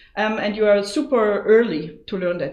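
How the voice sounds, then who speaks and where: In a German accent, a woman with a fairly high pitch speaks at a moderate pace, with audible room echo. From Germany. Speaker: go teacher. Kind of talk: tutorial. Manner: casual, lots of fillers.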